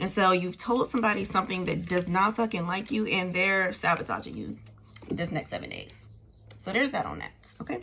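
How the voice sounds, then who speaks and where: Bright and sharp with vocal fry, a woman's medium-pitched voice moves at a fairly quick pace with ordinary pitch variation. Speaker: tarot reader. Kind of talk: tarot reading. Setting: indoors, windows open. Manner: casual, animated.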